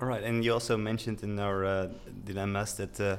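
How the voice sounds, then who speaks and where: A man with a Dutch accent talks at a fairly quick pace. His fairly low voice stays monotone and flat. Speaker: podcast host, structural engineer. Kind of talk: interview.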